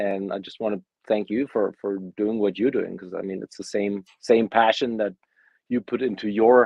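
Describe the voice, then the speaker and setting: A man with a German accent talks at a moderate pace in a fairly low pitch, his intonation monotone and flat. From Germany. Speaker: bassist. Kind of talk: interview.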